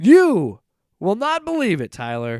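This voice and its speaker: This put-on character voice sits at a middle pitch and moves at a fairly slow pace, recorded very cleanly against a silent background. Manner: exaggerated, showy.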